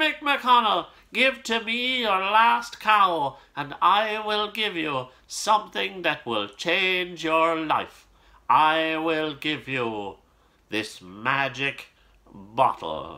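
In a put-on character voice, a man speaks at a high pitch and a very slow pace, with very wide pitch swings. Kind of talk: storytelling, voicing a character's lines. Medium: read story. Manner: confident, assured. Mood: sly, confident offer.

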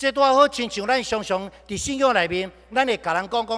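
Speaking at a moderate pace over a quiet background, a man with a high pitch has a bright, sharp tone and ordinary pitch variation. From Taiwan. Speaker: pastor. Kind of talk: sermon. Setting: church. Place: church. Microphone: podium.

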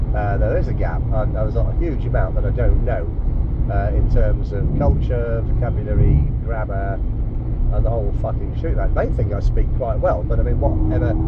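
Loud background noise fills the recording. Over it, a man talks at a moderate pace. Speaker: language learner. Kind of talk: casual chat. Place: car. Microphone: phone near.

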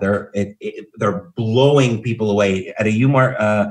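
Against a quiet background, a man speaks in a somewhat breathy voice with ordinary pitch variation. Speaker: marketing speaker. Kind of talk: webinar presentation. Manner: fast-talking, energetic. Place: home room. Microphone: webcam.

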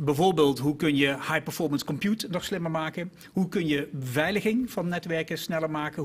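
A man at a fairly quick pace with hardly any pauses and ordinary pitch variation. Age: 50s. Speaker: innovation executive; guest. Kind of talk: panel discussion. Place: studio. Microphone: podium.

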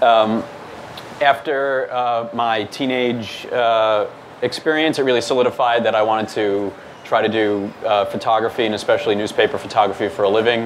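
A man talks at a moderate pace with fairly even intonation over light background noise. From New York, Staten Island; New York. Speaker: news photographer. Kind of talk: presentation. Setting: meetup with audience. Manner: many fillers (um, uh). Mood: relaxed, lightly humorous. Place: hall.

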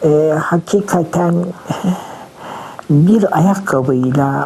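Over noticeable background noise, a woman speaks very slowly. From Kütahya, Turkey. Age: 70s. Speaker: retired literature teacher. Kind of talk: interview answer.

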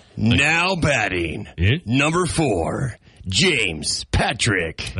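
Using a put-on character voice of medium pitch, a man speaks at a very slow pace with very wide pitch swings. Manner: announcing, booming.

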